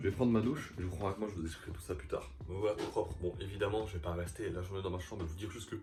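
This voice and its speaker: A fairly low-pitched man at a very fast pace, with music in the background. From Belgium. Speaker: vlogger. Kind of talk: vlog narration. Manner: casual.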